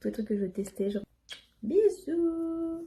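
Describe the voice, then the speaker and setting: A woman at a moderate pace, somewhat breathy, with lively intonation. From northern France. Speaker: vlogger. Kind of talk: casual vlog. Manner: hesitant, many fillers.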